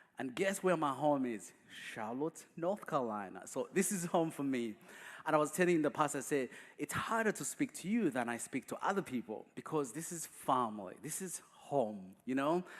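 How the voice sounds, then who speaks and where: A man with a Ugandan accent speaks with very wide pitch swings in a very clean recording with a silent background. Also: fairly high pitch for a man, moderate pace. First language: not English; English is his fourth language. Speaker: guest speaker. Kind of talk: testimony. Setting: church.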